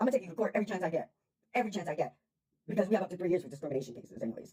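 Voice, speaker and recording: The voice has an animated tone and an American accent. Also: woman. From New York. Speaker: vlogger, tenant in a housing dispute. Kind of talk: personal vlog rant. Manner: blunt, animated.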